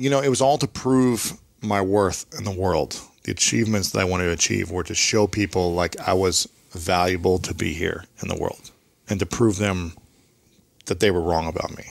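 Against a quiet background with a dry, echo-free sound, a man with an American accent talks fairly quickly at a very deep, low pitch with ordinary pitch variation. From US Midwest. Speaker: author and podcaster, former athlete; podcaster. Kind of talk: interview conversation. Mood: reflective personal storytelling. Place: studio.

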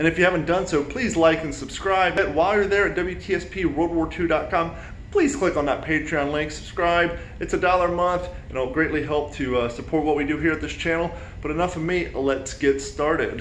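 Over light background noise and audible room echo, a man talks at a fairly quick pace and a high pitch, with ordinary pitch variation. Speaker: hobbyist channel host. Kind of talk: casual vlog chat and tutorial. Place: home room. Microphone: phone near.

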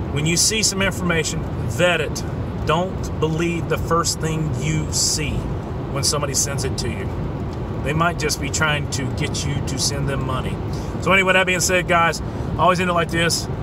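A man talks at a moderate pace with long, frequent pauses over background music, in a dry sound with no echo. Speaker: vlogger. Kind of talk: casual vlog chat. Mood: earnest, mildly exasperated. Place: car. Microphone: phone near.

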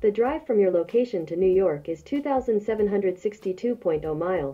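Over faint background music, a woman at medium pitch speaks at a fairly quick pace with lively intonation, her dark, mellow tone carrying a slightly husky edge.

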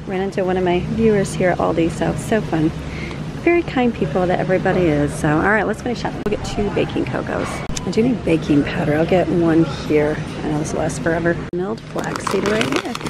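A woman speaks at a fairly quick pace with ordinary pitch variation. The sound is dry with no echo, but loud background noise runs underneath. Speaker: family vlogger. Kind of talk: casual vlog chat. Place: shop. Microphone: phone near.

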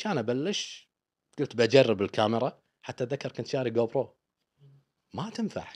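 Against a quiet background, a man with a Kuwaiti accent speaks with long, frequent pauses. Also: medium pitch for a man, lively intonation, moderate pace. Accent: Kuwaiti Gulf Arabic. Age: 40s. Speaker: travel vlogger. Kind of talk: interview. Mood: relaxed, humorous. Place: studio. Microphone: studio mic.

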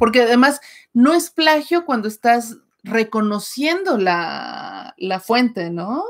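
A fairly high-pitched female voice at a very slow pace, with very wide pitch swings against a quiet background. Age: 40s. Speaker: writer and channel co-host; channel co-host. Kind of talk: casual livestream chat. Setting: live stream. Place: home room. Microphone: webcam.

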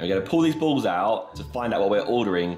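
Faint music sits in the background. The man's delivery comes very fast. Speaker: food vlogger. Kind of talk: casual vlog chat. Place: home room. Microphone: phone near.

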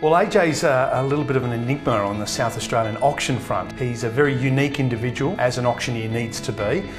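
Over clear background music, a man talks at a very fast pace with hardly any pauses and ordinary pitch variation. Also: medium pitch for a man. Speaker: real estate auction trainer. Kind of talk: testimonial interview. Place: office. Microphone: lapel.

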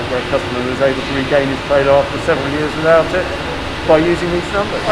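Loud background noise surrounds the man as he talks. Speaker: factory guide. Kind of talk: tour explanation. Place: factory. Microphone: phone near.

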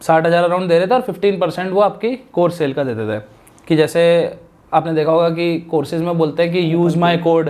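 At a moderate pace, a man with a high pitch speaks with ordinary pitch variation. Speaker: legal YouTuber and course creator; legal YouTuber, course creator. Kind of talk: podcast interview. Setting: studio. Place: studio. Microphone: lapel.

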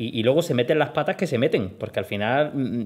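Lively intonation colors a man's speech as he goes at a very fast pace. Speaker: interviewer and programming teacher. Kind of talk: interview.

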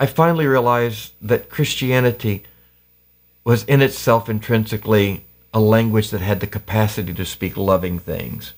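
The background is quiet as a man speaks. His pace is moderate and his pitch varies in an ordinary way. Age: 50s. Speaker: pastor and activist; pastor. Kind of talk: casual interview. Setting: home basement studio. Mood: reflective, earnest. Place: studio.

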